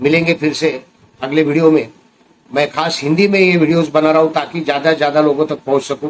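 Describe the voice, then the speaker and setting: With music in the background, a man speaks at a moderate pace with a fairly high pitch and a monotone, flat intonation. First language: Marathi (speaking Hindi). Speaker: recovering addict and addiction recovery vlogger. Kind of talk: personal testimony vlog.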